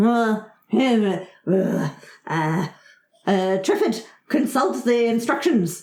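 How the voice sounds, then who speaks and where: A female-sounding put-on character voice, fairly high in pitch, moves at a very slow pace. Long pauses come often. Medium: actual play. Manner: blustering, officious, easily flustered.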